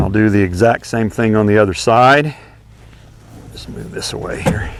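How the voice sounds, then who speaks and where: A man's medium-pitched voice at a moderate pace, with noticeable background noise. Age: 60s. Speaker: horse trainer. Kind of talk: tutorial. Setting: outdoors. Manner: casual.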